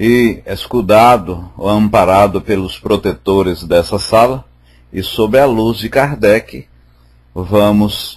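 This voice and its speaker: Very slowly, the speech unfolds, its pitch varying in an ordinary way. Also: man. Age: 60s. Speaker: spiritist study group leader. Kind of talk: religious study talk. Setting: online voice chat room.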